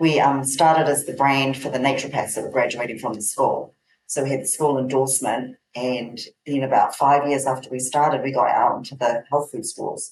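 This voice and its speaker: A woman with a New Zealand accent talks at a fairly quick pace in a very deep, low pitch, her intonation monotone and flat. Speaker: herbal company owner, naturopath. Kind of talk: interview.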